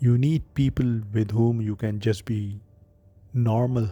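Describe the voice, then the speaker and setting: Music plays in the background as a soft-spoken man talks at a fairly slow pace and medium pitch. His tone is calm, his intonation fairly even. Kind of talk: late-night reflective monologue, relaxation talk. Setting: background relaxing music. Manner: soft-spoken, calm.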